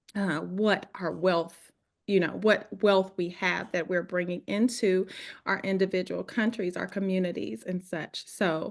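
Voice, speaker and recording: A woman with a strong Southern US accent, fairly even intonation, a fairly slow pace and a quiet background. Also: medium pitch for a woman. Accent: heavy Southern US. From US South, Georgia. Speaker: real estate agent. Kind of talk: webinar presentation. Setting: video call. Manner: halting.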